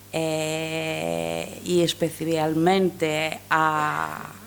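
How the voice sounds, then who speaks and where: In a Greek accent, a woman speaks at a very deep, low pitch, with audible room echo. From Greece. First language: Greek (speaking Spanish). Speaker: professor. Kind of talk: lecture. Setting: lecture hall with audience. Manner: halting, many fillers.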